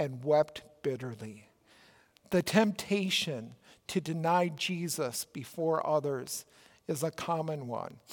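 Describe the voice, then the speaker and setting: A man with a Minnesotan accent talks at a very slow pace. His pitch is fairly high, with ordinary pitch variation. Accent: Minnesota. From Minnesota, US Midwest. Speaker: pastor. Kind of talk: sermon.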